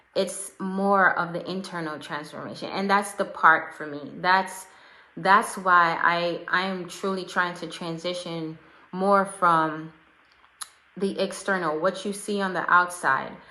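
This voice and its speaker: In a room with audible echo, a woman with a medium pitch speaks at a fairly slow pace in a monotone, flat intonation, with big swings in loudness. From Jamaica. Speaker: life and fitness coach. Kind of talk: live video talk to followers.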